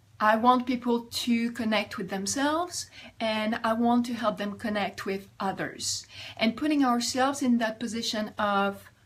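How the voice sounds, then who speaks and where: Somewhat breathy, a woman with a French accent talks at a fairly high pitch with ordinary pitch variation. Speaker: life coach. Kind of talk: vlog advice talk.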